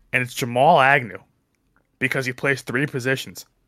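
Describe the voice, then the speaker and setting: In a New Jersey accent, a man with a medium-pitched, bright, sharp voice talks at a fairly quick pace on a very clean recording with a silent background. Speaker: sports podcast panelist. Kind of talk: casual chat. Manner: fast.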